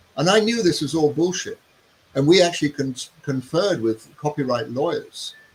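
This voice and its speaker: Noticeable background noise sits behind the speaker. He is a man with a fairly high pitch. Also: lively intonation, moderate pace. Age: 70s. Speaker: human design teacher and author. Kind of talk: interview. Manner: conversational with fillers.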